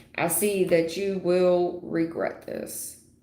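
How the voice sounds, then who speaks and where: A woman at a medium pitch, with audible room echo. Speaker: tarot reader. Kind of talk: live stream tarot reading. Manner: loud.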